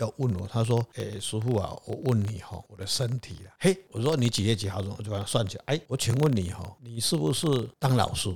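The speaker talks at a fairly quick pace in a somewhat breathy voice. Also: man. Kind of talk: casual chat.

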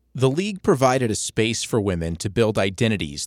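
A man's normal speaking voice, fairly low and fairly quick, dry and close with no echo, on a very clean recording with a silent background. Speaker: podcast host and narrator. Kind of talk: scripted narration.

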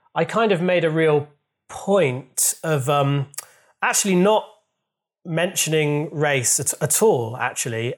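The speaker has a Yorkshire accent. The intonation is lively. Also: man. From Yorkshire, England (Leeds). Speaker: comedian and writer. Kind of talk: casual chat. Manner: halting.

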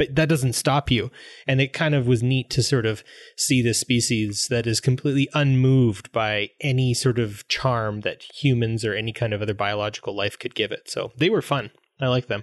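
In a quiet background, a man with a western Canadian accent talks at a moderate pace and medium pitch, his fairly even intonation heard in a dry, close sound with no echo. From Grand Prairie, Alberta, Canada. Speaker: English teacher and podcast co-host. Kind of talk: casual chat.

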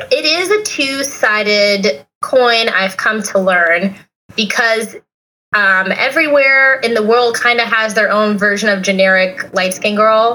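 A normal speaking voice from a woman, fairly high in pitch, with ordinary pitch variation and very even loudness. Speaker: travel blogger. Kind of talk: casual chat. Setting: remote call.

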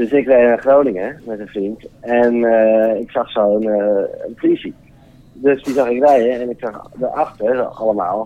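With an unremarkable speaking voice, a man talks at a fairly slow pace, medium pitch and fairly even intonation. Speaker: caller. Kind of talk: telling an anecdote.

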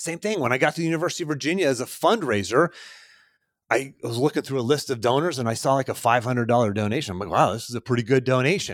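A man with an American accent, very fast and animated, lively intonation, on a very clean recording with a silent background. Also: medium pitch for a man. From Pittsburgh, US. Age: 40s. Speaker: podcast host, success coach. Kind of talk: solo podcast monologue.

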